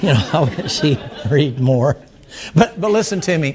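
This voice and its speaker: Lively intonation runs through this voice with a Southern US accent. The pace is fairly slow. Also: man. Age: old. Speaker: preacher. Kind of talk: sermon. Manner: animated.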